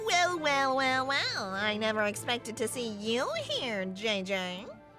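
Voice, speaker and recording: Over clear background music, a woman in a put-on character voice talks fairly slowly at a fairly high pitch. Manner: arrogant, smug.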